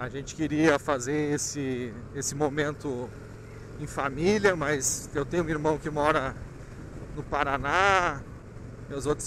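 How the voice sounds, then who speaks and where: Amid noticeable background noise, a man speaks with fairly even intonation in a dry sound with no echo. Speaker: motorcycle rider vlogger. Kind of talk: casual vlog chat. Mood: reflective, tender. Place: motorbike. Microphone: helmet.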